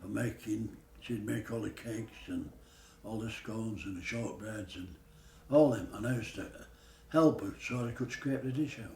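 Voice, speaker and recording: With a Yorkshire accent, the speaker uses ordinary pitch variation and leaves long, frequent pauses. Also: man, medium pitch for a man, moderate pace. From Yorkshire, England. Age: 80s+. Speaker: pastry chef. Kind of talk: interview answer.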